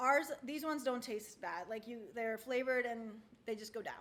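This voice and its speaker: Here a woman speaks at a high pitch. She uses ordinary pitch variation. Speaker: wellness product presenter. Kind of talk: tutorial. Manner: fast; casual, filler-heavy.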